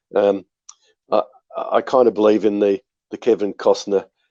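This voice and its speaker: A man talks fairly quickly with an Australian accent. The sound is dry and close, with no echo. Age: 60s. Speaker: winery owner and winemaker. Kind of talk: podcast interview. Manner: hesitant, many fillers and repeats.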